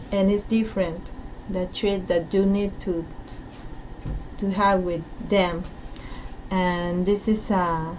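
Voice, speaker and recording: Speaking very slowly in a monotone, flat intonation, a woman with a Peruvian accent is heard over noticeable background noise and audible room echo. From Peru, Lima. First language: Spanish. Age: 30s. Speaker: teacher. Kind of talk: recorded self-introduction. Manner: halting.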